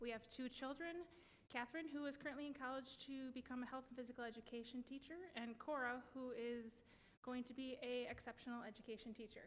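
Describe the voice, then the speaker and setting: Speaking with a Wisconsin accent, a woman talks at a fairly quick pace in a high pitch with fairly even intonation. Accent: Upper Midwest (Wisconsin). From Wisconsin (West Allis, Milwaukee area). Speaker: school board candidate. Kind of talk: candidate forum statement.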